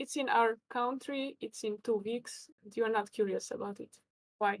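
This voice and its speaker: A woman with a Hungarian accent speaks at a moderate pace and fairly high pitch, her intonation fairly even. Her loudness swings widely, and the sound is dry and close with no echo. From Hungary. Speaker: chess commentator and player. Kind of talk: live stream chess commentary. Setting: live stream.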